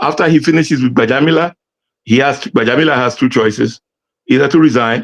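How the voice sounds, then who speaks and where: A man with a fairly high pitch speaks at a very fast pace. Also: ordinary pitch variation, very even loudness. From Nigeria (Lagos). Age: 70s. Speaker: political commentator. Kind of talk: interview.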